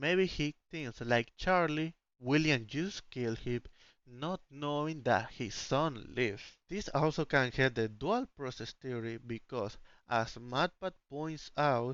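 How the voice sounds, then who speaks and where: A man with a non-native accent at a fairly slow pace, with ordinary pitch variation. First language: not English. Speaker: indie game developer and YouTuber. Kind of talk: theory video narration; casual outro to viewers. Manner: reading from script; hesitant.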